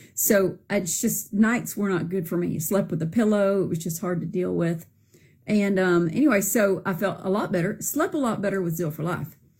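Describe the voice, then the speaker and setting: In a very clean recording with a silent background, a woman speaks at medium pitch with vocal fry. Her pace is moderate and her pitch variation ordinary. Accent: Southern US. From Arkansas, US South. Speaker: product user giving testimonial. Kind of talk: testimony. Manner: casual, hesitant with fillers.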